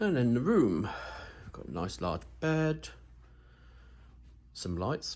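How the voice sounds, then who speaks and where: His voice is somewhat breathy. The man's pitch sits in the middle range. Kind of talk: casual talk to camera. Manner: slightly manic.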